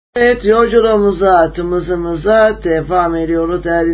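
A man with a high-pitched voice talks while noticeable background noise carries on behind him. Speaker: radio host. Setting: radio studio, live broadcast.

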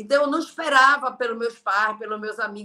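Raised, projected female voice, high in pitch, bright and sharp, fairly quick, with ordinary pitch variation. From Brazil, Belém (Pará). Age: 40s. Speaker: network marketing leader. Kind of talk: interview on a live stream. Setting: video live stream.

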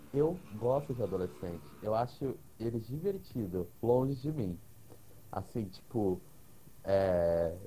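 Somewhat breathy and dark, mellow in tone, a man speaks at a very slow pace and fairly low pitch with lively intonation and long, frequent pauses. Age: 20s. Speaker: podcast guest. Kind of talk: casual chat. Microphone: cutting out, hard to hear.

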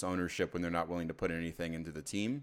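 This is a man speaking. The recording is very clean with a silent background. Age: 30s. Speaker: sports podcast co-host. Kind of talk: casual chat.

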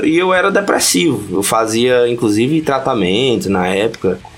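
A man's pitch swings very widely as he talks at a fairly slow pace against noticeable background noise. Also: very even loudness. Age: 30s. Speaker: podcast guest, punk fan and history researcher. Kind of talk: casual chat.

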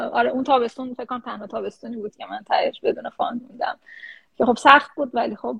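At a very fast pace, a woman talks in a high pitch with ordinary pitch variation. Her volume shifts in big swings. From Iran. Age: 30s. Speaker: research scientist. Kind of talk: interview. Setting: live stream.

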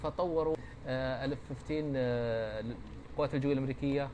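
Audible room echo and noticeable background noise surround a man speaking at a moderate pace and medium pitch. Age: 50s. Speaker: retired fighter pilot. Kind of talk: interview. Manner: halting.

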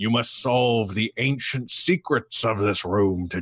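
Putting on a booming character voice, a man speaks fairly slowly at a fairly low pitch with lively intonation, over a quiet background. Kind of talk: mock-epic, fantasy narration. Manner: booming, grand, ominous.

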